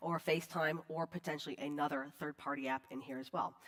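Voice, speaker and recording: Speaking at a fairly quick pace, a woman gets through her words. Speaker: conference speaker on digital forensics. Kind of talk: conference talk. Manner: fast; casual, filler-heavy.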